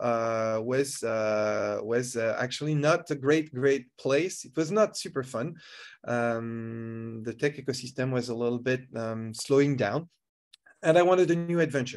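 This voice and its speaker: A man with a French accent talks at a moderate pace over a quiet background. His voice is medium-pitched with ordinary pitch variation. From France. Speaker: tech entrepreneur, speaker. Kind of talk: online conference talk. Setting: video call. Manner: halting, many fillers and repetitions.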